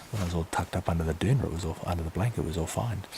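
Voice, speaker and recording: Whispering with an Australian accent, a man is heard over noticeable background noise. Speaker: vlogger. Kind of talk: casual vlog monologue. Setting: outdoors, camping in the bush at night. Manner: hesitant, musing.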